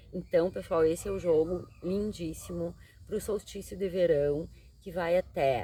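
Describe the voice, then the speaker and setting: Speaking at a fairly slow pace, a woman uses a fairly low pitch with ordinary variation and some vocal fry. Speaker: tarot reader and psychologist. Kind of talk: tarot reading monologue.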